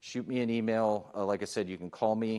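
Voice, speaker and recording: A man with a plain, everyday voice and medium pitch talks at a fairly quick pace in a very clean recording with a silent background. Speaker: police chief. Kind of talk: public forum presentation. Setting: public meeting.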